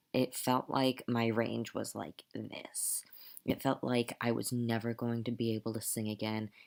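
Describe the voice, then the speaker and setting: Quiet, dry and close with no echo, a man speaks at a fairly slow pace in a medium pitch with monotone, flat intonation. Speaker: transgender vlogger and music student. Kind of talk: casual vlog. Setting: at home at night.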